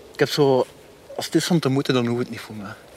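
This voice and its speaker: The man's pitch shifts in an ordinary way. He talks at a fairly quick speed. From Germany, Belgian military community (Flemish family). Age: 40s. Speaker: interviewee with a criminal past. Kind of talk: interview. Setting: outdoors on a snowy dog meadow.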